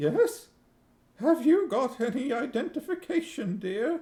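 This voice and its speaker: A shaky, put-on character voice goes along at a fairly slow pace. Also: man, extremely high pitch for a man. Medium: read story. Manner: wary, calls everyone dear.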